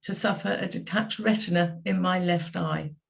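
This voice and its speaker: With an English accent, a woman speaks at a fairly low pitch with vocal fry and lively intonation, and there is audible room echo. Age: 70s. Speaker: patient sharing experience. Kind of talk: testimony.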